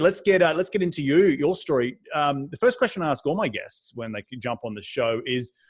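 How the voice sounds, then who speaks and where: A man with an Australian accent talks at a very fast pace, his pitch swinging very widely. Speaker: podcast host. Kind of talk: interview podcast. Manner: energetic.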